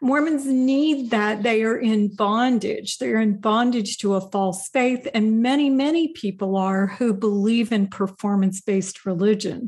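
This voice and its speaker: In a quiet background, a woman with an American accent speaks at a fairly slow pace with hardly any pauses and very even loudness. Her fairly high voice is somewhat breathy, with ordinary pitch variation. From US Midwest, Indiana. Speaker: former professor and podcast host. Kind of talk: testimony.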